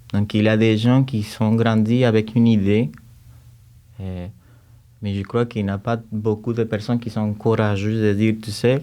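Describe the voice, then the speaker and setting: A man speaks in a strong Cuban accent with a dark, mellow tone and a fairly low pitch. His moderate pace breaks into long, frequent pauses, and his intonation stays monotone and flat. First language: Spanish (speaking French). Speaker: music teacher, composer and choir conductor. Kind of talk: podcast interview. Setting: studio. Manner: halting, with repetitions.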